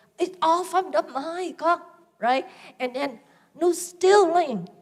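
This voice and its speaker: Very slowly, a woman speaks at an extremely high pitch. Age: 60s. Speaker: Buddhist nun teacher. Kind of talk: dharma talk. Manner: informal, conversational.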